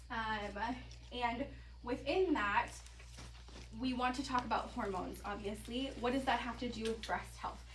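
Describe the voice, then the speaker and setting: Fairly slow speech with long, frequent pauses, audible room echo and noticeable background noise. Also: woman. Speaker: health presenter on mineral nutrition. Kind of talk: presentation to live audience.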